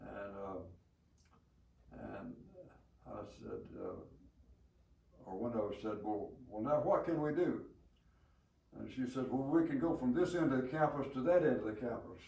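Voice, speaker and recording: In a Southern US accent, a man speaks at a fairly slow pace and medium pitch with a dark, mellow tone and vocal fry. His loudness swings widely, and he leaves long, frequent pauses. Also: lively intonation. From Alabama. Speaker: war veteran. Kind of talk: interview answer.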